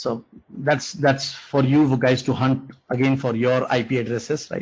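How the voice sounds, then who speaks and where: A man's voice sits at medium pitch and is somewhat breathy. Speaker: programming instructor. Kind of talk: online lecture. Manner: halting.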